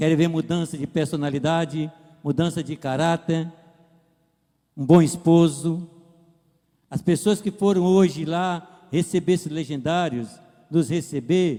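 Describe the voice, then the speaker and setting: Speaking at a fairly slow pace with long, frequent pauses, a man uses a high pitch, a dark, mellow tone and fairly even intonation. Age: 60s. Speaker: pastor. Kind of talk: testimony.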